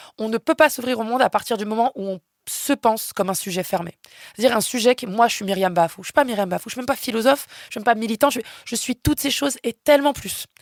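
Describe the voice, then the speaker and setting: A woman's fairly high voice comes across with an animated tone and lively intonation at a fairly quick pace. The recording is very clean, with a silent background. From France. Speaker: philosopher. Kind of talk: podcast interview.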